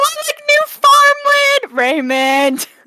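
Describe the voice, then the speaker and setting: This is a put-on character voice that sounds female. It comes out squeaky. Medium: actual play.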